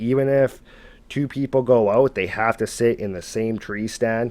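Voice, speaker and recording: A man uses a plain, everyday voice with a Canadian accent. His medium pitch and fairly even intonation come at a moderate pace. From Canada. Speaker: storyteller narrating viewer encounters. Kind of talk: storytelling narration; casual sign-off to viewers. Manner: casual, conversational.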